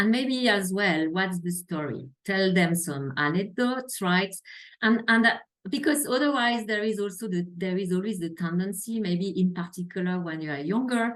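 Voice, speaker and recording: A woman speaks with lively intonation and a slight French accent. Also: medium pitch for a woman, moderate pace. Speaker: healthcare quality executive. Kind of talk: interview.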